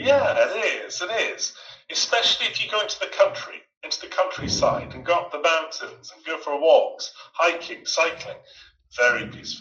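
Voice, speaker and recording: A man with a Scottish accent talks at a moderate pace, his loudness swinging widely. Music plays in the background. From Scotland. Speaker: online English tutor. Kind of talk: online group class conversation.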